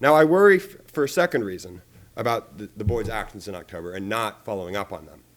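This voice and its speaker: Big swings in loudness mark this man's very fast, lively delivery at a fairly low pitch. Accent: American. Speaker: public commenter. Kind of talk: public comment. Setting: board meeting. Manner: halting.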